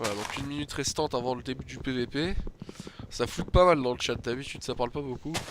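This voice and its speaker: Against noticeable background noise, a man speaks very fast at a medium pitch with ordinary pitch variation. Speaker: gaming youtuber. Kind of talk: gameplay commentary. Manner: hesitant, many fillers.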